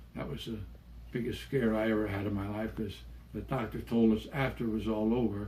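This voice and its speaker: A man talks at a moderate pace with a fairly low pitch and a dark, mellow tone. His somewhat breathy voice stays monotone and flat, with audible room echo. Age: 80s+. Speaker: Navy veteran telling life stories. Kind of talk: storytelling. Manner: occasional stumbles and repeated words.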